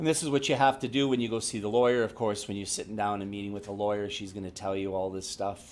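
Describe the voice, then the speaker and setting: A man with a fairly low voice talks at a very fast pace. He leaves hardly any pauses, and his pitch varies in an ordinary way. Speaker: real estate agent. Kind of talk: workshop presentation.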